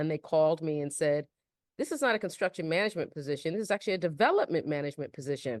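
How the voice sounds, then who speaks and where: A woman talking at a very fast pace with a Bronx accent. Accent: Bronx New York flavor. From New York, the Bronx. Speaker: real estate developer. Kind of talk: podcast interview.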